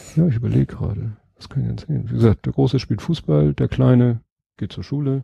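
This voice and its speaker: At a very fast pace, a man with a medium pitch and a dark, mellow, somewhat breathy tone swings very widely in pitch, in a dry, close sound with no echo. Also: big swings in loudness. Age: 40s. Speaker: podcaster. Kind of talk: casual chat.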